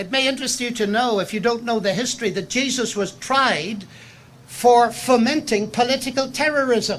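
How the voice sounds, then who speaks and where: The speaker, with a Northern Irish accent, keeps a moderate pace. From Northern Ireland. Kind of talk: public lecture. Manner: formal.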